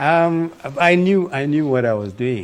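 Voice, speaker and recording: A man speaks with a northern Nigerian accent. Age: 70s. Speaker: former political adviser. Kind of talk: interview. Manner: halting.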